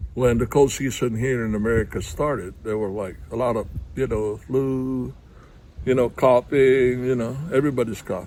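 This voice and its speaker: This man's voice is dark and mellow, at medium pitch. He keeps a moderate pace and fairly even intonation. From Philippines. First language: Tagalog. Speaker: vlogger, heart attack survivor. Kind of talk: personal testimony to camera. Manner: halting, many fillers.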